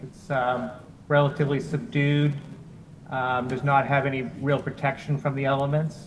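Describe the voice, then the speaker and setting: Moving at a moderate pace, this somewhat breathy voice keeps fairly even intonation. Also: man, fairly high pitch for a man. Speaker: town planning staff presenter. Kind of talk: public meeting presentation. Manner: formal.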